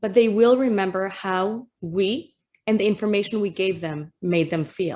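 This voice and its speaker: With a dark, mellow tone, a woman speaks at a medium pitch and a fairly slow pace, her pitch varying in an ordinary way. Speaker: school guidance counselor and therapist. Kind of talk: educational presentation for teachers. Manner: animated.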